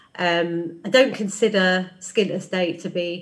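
A somewhat breathy woman's voice, fairly low in pitch, with monotone, flat intonation. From Ireland. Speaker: screenwriter and author; guest. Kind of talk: live panel discussion. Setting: video call. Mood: candid, reflective. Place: home room. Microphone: webcam.

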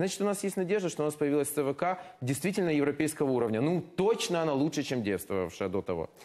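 A man speaks very fast with very wide pitch swings yet very even loudness. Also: fairly high pitch for a man, quiet background. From Ukraine. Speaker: member of parliament; politician guest. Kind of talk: heated debate. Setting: studio. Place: studio. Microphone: lapel.

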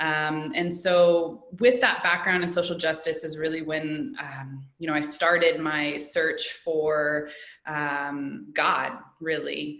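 A woman with a very deep, low pitch speaks very slowly with fairly even intonation amid audible room echo. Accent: American. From US Midwest, Indianapolis. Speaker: yoga teacher and educator. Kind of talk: casual interview.

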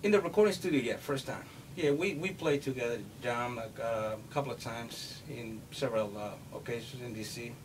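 A man speaks at a moderate pace with lively intonation over noticeable background noise. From Brazil, Salvador (Bahia). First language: Portuguese. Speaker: pianist and bass player; interviewee. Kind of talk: interview. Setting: recording studio. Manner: halting. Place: home room. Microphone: camera far.

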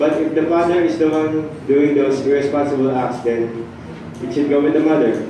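A man at medium pitch speaks in a dark, mellow tone with ordinary pitch variation, and room echo is audible.

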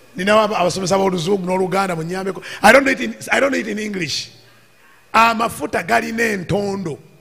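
With audible room echo and noticeable background noise, a high-pitched man speaks at a very fast pace with ordinary pitch variation. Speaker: preacher. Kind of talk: sermon. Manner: halting.

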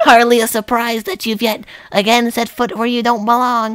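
A female-sounding put-on character voice, fairly high in pitch, at a moderate pace. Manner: haughty, sneering.

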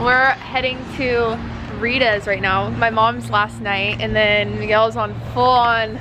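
A woman speaks very slowly as music plays in the background. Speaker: athlete vlogger. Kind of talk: casual vlog chat.

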